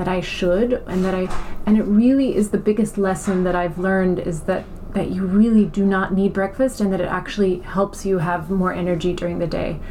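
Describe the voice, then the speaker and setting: A woman with an American accent talks at a fairly quick pace with fairly even intonation over noticeable background noise. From mixed: Iran, Germany, US, farm upbringing. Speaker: beauty brand co-founder. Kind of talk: interview. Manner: hesitant, many fillers and repetitions.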